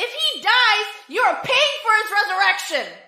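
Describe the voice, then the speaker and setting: A put-on character voice, squeaky and extremely high in pitch, with a slight echo. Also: moderate pace. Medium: actual play.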